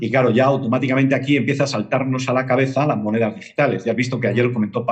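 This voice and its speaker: Very fast speech runs along with a fairly level intonation. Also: man. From Spain, Madrid. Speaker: independent market analyst. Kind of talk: interview.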